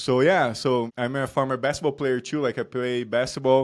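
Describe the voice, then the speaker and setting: The recording is very clean, with a silent background. A man with a Brazilian accent speaks at a moderate pace in a medium pitch. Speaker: performance coach. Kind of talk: interview chat.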